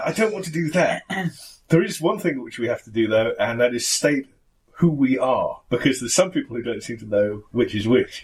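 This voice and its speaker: Pitch swings very widely as a man speaks at a medium pitch. He sounds somewhat breathy and moves at a fairly quick pace. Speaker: podcast co-host.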